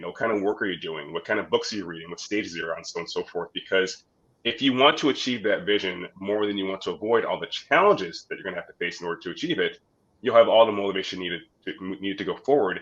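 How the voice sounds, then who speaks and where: At a very fast pace, a man talks with big swings in loudness. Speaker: business podcast host. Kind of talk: live-streamed interview.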